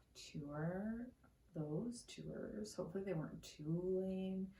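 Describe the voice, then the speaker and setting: A woman speaks quietly at a very slow pace. Her intonation is lively. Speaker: art YouTuber. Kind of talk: casual vlog talk to camera. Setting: at home.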